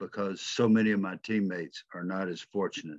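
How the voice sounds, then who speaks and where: A man speaks at a moderate pace in a fairly low, monotone voice with flat intonation. The sound is dry and close with no echo, over a quiet background. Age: 80s+. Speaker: retired football player and coach. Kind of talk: webinar closing message.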